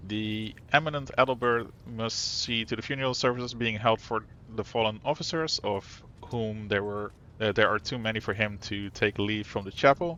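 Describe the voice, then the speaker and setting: A man speaks with a non-native accent. His pitch varies in an ordinary way. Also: medium pitch for a man, moderate pace. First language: not English. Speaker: video game streamer. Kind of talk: reading game text aloud. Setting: live stream. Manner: halting, stumbles over words.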